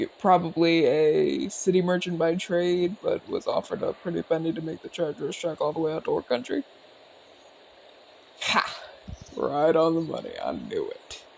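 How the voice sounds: In a put-on character voice, a man talks at a fairly high pitch with big pitch swings, vocal fry, a slightly husky edge and a slightly mellow tone. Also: moderate pace.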